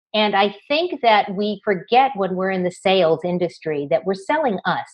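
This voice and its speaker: A woman's normal speaking voice at medium pitch, lively in intonation and moderate in pace. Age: 60s. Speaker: business founder and web TV host. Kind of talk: casual chat. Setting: video call.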